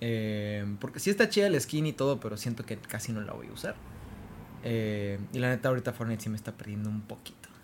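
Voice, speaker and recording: A normal speaking voice from a man at a medium pitch and a fairly quick pace. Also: fairly even intonation. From Mexico, Tamaulipas. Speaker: podcast co-host. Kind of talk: casual chat.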